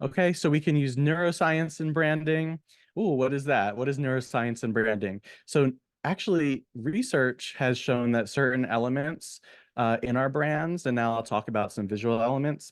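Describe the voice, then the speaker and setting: A man's unremarkable speaking voice, medium in pitch, with ordinary pitch variation, a moderate pace and a quiet background. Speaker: therapist and branding coach. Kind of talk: webinar presentation. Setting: online webinar.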